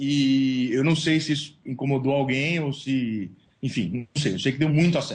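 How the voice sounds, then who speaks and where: A man's somewhat breathy voice in a São Paulo accent, at a moderate pace. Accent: paulista. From São Paulo, Brazil. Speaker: sports blogger and journalist. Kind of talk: interview. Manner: casual, slangy.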